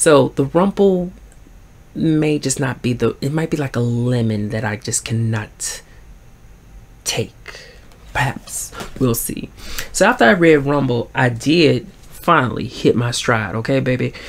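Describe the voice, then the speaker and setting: Pausing long and often, a man with a Southern US accent speaks at a fairly slow pace with ordinary pitch variation. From US Deep South. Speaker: book vlogger. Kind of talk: casual chat. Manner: swallows words. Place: home room. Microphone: phone near.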